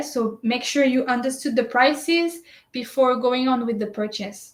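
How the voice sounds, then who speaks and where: A woman's high-pitched voice with ordinary pitch variation at a moderate pace. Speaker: shopping service presenter. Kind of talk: tutorial. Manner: hesitant, many fillers.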